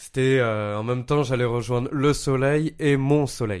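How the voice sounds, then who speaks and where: Very slowly, a man talks at a medium pitch with fairly even intonation. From Paris. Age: 30s. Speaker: podcast guest. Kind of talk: casual chat.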